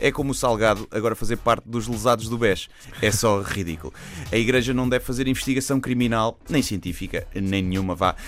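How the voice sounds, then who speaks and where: The speaker has a European Portuguese accent. The pace is fairly quick. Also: man, medium pitch for a man, ordinary pitch variation. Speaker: comedian. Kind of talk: satirical radio commentary.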